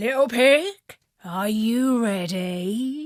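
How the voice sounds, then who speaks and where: A woman's put-on character voice at a fairly high pitch. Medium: read story. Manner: sly, persuasive.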